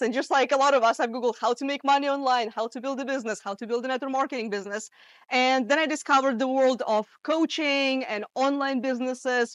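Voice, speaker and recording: The speaker has a Russian accent and a fairly quick pace. Intonation stays fairly even. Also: woman. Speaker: marketing coach. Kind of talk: talk to a live audience. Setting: in-person event with audience. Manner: casual, with many fillers.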